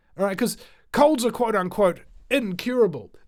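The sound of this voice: At a moderate pace, a man talks with a high pitch and lively intonation.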